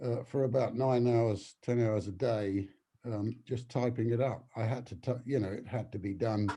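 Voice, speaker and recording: A man with a dark, mellow, somewhat breathy tone speaks at a moderate pace with fairly even intonation. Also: medium pitch for a man. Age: 80s+. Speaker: novelist. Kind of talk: interview. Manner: halting.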